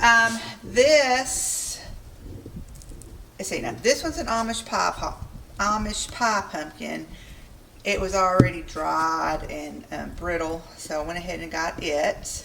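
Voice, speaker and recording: Very slow and in a Southern accent, a woman's voice rises and falls greatly in loudness amid audible room echo and noticeable background noise. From US South. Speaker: homesteading vlogger. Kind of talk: casual cooking and garden vlog. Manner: casual, chatty with fillers.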